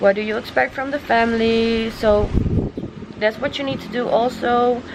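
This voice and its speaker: In a Dutch accent, a woman with a fairly high pitch speaks at a fairly slow pace with monotone, flat intonation over noticeable background noise. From Netherlands. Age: 20s. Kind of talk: casual talk to camera. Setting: outdoors.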